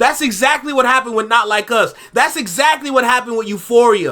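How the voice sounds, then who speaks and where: A man with an extremely high pitch speaks in a raised, projected voice with an animated, bright, sharp tone and ordinary pitch variation. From Canada. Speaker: YouTube reaction host. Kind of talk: reaction commentary.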